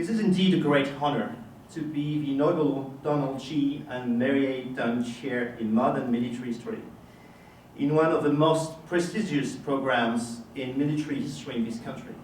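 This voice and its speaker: With a French accent, a man speaks at a moderate pace in a fairly high pitch with ordinary variation, amid noticeable background noise and audible room echo. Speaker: history professor. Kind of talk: formal lecture. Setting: lecture hall with audience. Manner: formal.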